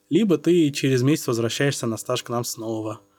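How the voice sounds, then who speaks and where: Moderate pace from a man, a normal speaking voice. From Saint Petersburg, Russia. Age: 20s. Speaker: doctor. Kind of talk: casual interview.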